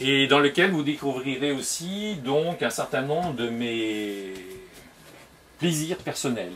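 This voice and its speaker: Over noticeable background noise, the speaker moves at a very slow pace with long, frequent pauses and lively intonation. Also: man. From Tunisia, later Brittany. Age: 50s. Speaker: comic book author. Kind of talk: guided tour interview. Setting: at home in his workroom. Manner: hesitant, frequent 'euh'.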